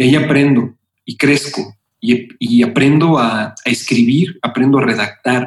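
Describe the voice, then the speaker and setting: This man's voice sits at a medium pitch and is somewhat breathy. His pitch varies in an ordinary way. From Mexico City. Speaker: music and marketing executive. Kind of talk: interview.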